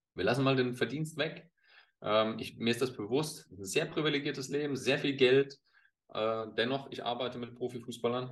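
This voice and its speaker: This is a man with a plain, everyday voice, pitched in the medium range. He talks at a moderate speed with fairly even intonation. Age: 40s. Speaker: former pro footballer and football pundit. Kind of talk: casual interview.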